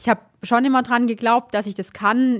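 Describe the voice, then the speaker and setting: A woman's monotone voice with flat intonation, on a very clean recording with a silent background. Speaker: biathlete. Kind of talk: interview.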